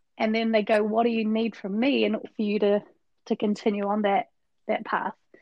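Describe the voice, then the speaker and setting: With long, frequent pauses, a woman speaks at a moderate pace in a fairly high voice with fairly even intonation. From New Zealand, west coast. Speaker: agile coach. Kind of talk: casual chat.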